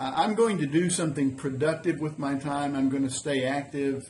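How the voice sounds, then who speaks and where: A somewhat breathy man, fairly high in pitch, with fairly even intonation at a moderate pace. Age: 60s. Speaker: semi-retired small business owner and vlogger. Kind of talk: casual vlog monologue. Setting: woodworking shop. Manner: halting, with many fillers.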